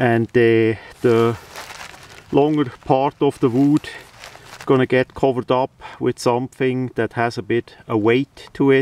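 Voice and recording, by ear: At medium pitch, a man talks at a fairly slow pace with little pitch movement and a slightly mellow tone. The sound is dry and close, with no echo.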